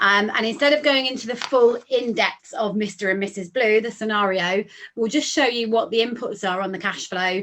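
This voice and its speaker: A woman speaks with a British accent. Her fairly high pitch shows ordinary pitch variation. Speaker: financial adviser. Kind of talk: software demo tutorial. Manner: fast.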